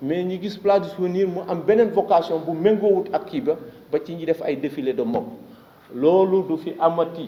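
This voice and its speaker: The man's voice sits high in pitch, with ordinary pitch variation. He keeps a moderate pace. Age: 60s. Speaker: association leader for victims' families. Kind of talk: press conference speech.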